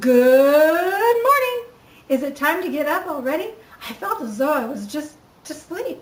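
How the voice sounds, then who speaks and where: Putting on a character voice, a woman speaks at a high pitch. Her pace is moderate. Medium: read story. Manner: theatrical.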